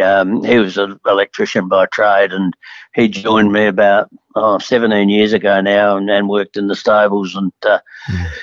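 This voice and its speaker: An Australian-accented man at a moderate pace with a fairly low voice. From Adelaide, South Australia. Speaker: racehorse trainer. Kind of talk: interview. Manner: halting.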